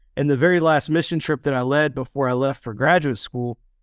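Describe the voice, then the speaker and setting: A man with an American accent and a normal speaking voice, medium in pitch, fairly quick, fairly even in intonation, with a dry, close sound, no echo, and a very clean recording over a silent background. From West Virginia. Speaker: nonprofit executive director. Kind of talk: interview.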